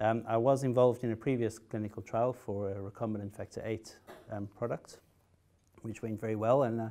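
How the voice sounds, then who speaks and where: In a South African accent, a man talks at a fairly quick pace with a medium pitch, a dark, mellow tone and monotone, flat intonation. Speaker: haemophilia patient, trial participant. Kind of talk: conference talk. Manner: hesitant, many fillers and repetitions.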